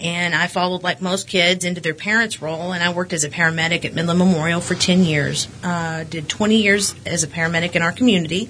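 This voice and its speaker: Over noticeable background noise, a woman speaks very fast in a fairly low pitch with fairly even intonation. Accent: West Texas. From West Texas. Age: 40s. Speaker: school board candidate, realtor. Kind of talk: interview. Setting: studio.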